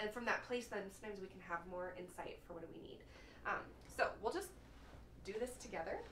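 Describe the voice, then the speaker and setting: A woman talks very fast at medium pitch, with big swings in loudness and long, frequent pauses. Audible room echo and noticeable background noise fill the recording. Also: ordinary pitch variation. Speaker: counselor. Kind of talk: guided meditation. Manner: soothing.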